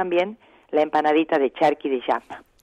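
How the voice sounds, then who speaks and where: A woman with a northwestern Argentine accent talks at a moderate pace, the sound dry and close with no echo. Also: quiet background. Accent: northwestern Argentine (Salta). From Salta, northern Argentina. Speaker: folk singer and restaurant owner. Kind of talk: interview. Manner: calm.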